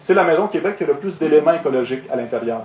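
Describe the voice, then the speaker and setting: Over noticeable background noise and audible room echo, a man talks at a very fast pace with ordinary pitch variation. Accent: Quebec. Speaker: ecological construction contractor. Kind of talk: conference talk. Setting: stage with audience. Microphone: echo from room sound system.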